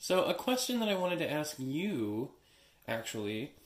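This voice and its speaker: A man is speaking. His pitch swings very widely. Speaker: soap maker. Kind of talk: tutorial. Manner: casual, many filler words.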